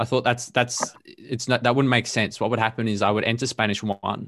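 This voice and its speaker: A man with an Australian accent, fairly low pitch and fairly even intonation, against a quiet background. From Melbourne, Australia. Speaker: language learner and podcast guest. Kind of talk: casual chat. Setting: video call.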